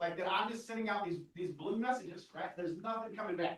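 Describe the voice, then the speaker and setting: An animated tone comes from a man with an American accent. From Texas Panhandle. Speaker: AI trainer and speaker. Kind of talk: live workshop presentation. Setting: stage with live audience. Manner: fast.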